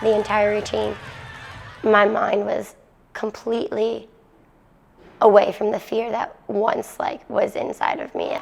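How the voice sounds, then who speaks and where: A woman speaks at a fairly slow pace with long, frequent pauses over noticeable background noise. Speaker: college gymnast. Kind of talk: interview soundbite.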